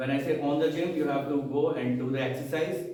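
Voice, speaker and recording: With a Haryana accent, a man speaks at a moderate pace in a fairly high voice. Audible room echo and noticeable background noise surround him. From India, Haryana. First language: Haryanvi. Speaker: experienced club member, speaker. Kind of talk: motivational speech.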